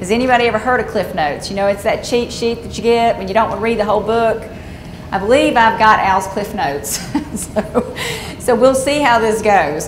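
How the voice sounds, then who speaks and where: Against noticeable background noise and audible room echo, a woman with a Southern US accent speaks fairly quickly in a fairly high pitch with ordinary pitch variation. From Georgia, US South. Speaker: conservation engineer. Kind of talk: seminar presentation.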